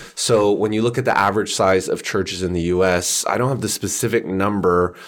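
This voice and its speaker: With a Canadian accent, a man in a plain, everyday voice speaks at a fairly low pitch and a fairly quick pace with fairly even intonation, in a very clean recording with a silent background. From Canada. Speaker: church researcher and author. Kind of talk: casual interview chat.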